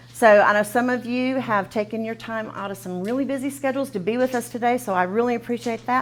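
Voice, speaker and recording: A woman in a Texan accent at a fairly quick pace, over noticeable background noise. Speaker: nonprofit program coordinator running a training. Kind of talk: training session introduction. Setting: classroom with live audience and Zoom. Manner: fast; informal, filler words.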